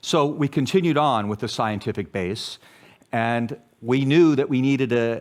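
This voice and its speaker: In a very clean recording with a silent background, a man with an American accent talks at a moderate pace in an unremarkable speaking voice, his intonation lively. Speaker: public health academic, journal editor. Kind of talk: conference talk.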